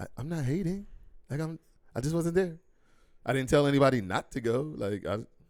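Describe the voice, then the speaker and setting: Lively intonation at a fairly quick pace, broken by long, frequent pauses. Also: man, fairly high pitch for a man. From Philadelphia, US. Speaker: podcast host. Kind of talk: casual chat.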